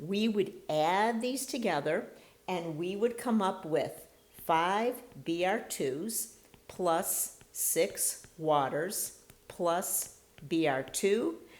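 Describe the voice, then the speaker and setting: A woman speaks at a very slow pace with a medium pitch and lively intonation. Audible room echo surrounds her voice. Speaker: chemistry instructor. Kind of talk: lecture.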